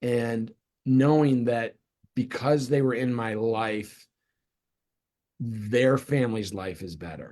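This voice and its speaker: A man with an American accent speaks at a very slow pace with long, frequent pauses and big swings in loudness. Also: medium pitch for a man, ordinary pitch variation. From US Midwest (Cleveland, Ohio). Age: 60s. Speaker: real estate team leader. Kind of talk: interview.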